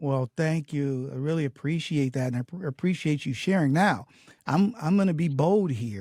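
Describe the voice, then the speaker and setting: A man speaks at a fairly quick pace and fairly high pitch, his tone dark and mellow and somewhat breathy. His intonation is lively, and the sound is dry and close with no echo. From US, Detroit, Michigan. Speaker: podcast host. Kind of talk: interview conversation. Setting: podcast interview.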